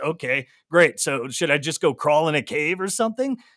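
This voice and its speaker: In a very clean recording with a silent background and a dry, close sound with no echo, a man with an unremarkable speaking voice talks at a moderate pace and a fairly high pitch. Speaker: news head, podcaster. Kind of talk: casual panel chat. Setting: live stream.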